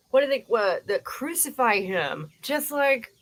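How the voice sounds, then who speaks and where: A woman with a Cleveland accent speaks at a fairly slow pace, her voice showing vocal fry. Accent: Inland Northern US (Cleveland). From US Midwest, Cleveland, Ohio. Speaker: live streamer, commentator. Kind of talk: casual livestream chat. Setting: live stream.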